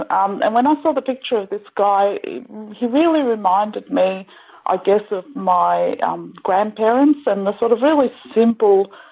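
A woman with a fairly high pitch speaks in an Australian accent. Her pace is fairly slow, with ordinary pitch variation. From Melbourne, Australia (Greek parents). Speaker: author. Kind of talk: interview.

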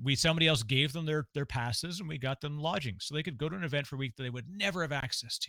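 His tone is bright and sharp, with ordinary pitch variation. The recording of this man is very clean and dry, close with no echo and a silent background. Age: 40s. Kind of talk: casual interview chat.

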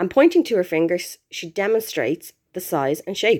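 An ordinary speaking voice: a woman at medium pitch, lively intonation, moderate pace. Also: very clean recording, silent background. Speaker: expat listener contributor. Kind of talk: storytelling, reading aloud.

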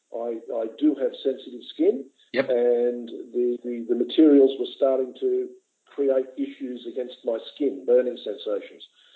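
In an Australian accent, a man talks at a fairly slow pace. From Sydney, Australia. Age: 60s. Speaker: retired airline worker and amputee advocate. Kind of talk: interview. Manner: halting, many fillers.

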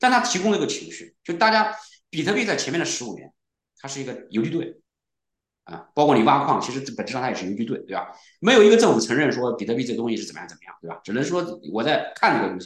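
Talking at a very fast pace, a man with a fairly high pitch and vocal fry shows very wide pitch swings and big swings in loudness. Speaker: serial entrepreneur, programmer. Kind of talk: casual interview.

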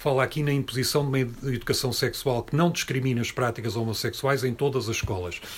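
Very fast and with hardly any pauses, a man speaks at medium pitch in a somewhat breathy voice with fairly even intonation. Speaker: activist and speaker. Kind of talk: talk and discussion with audience.

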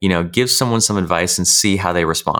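Here a man talks in a plain, everyday voice with an American accent and fairly low pitch. The recording is very clean, with a silent background. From California, US. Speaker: author and online course creator. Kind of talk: interview.

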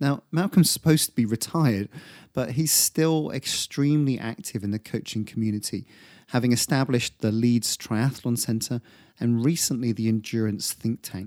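A man with an unremarkable speaking voice talks at a moderate pace and medium pitch with ordinary variation, the sound dry and close with no echo on a very clean recording with a silent background. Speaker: podcast host. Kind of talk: interview, intro monologue.

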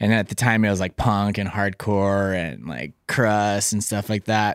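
In a very clean recording with a silent background and a dry, close, echo-free sound, a man with an American accent speaks fairly slowly at a fairly low pitch. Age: 30s. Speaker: touring bass player. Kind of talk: interview.

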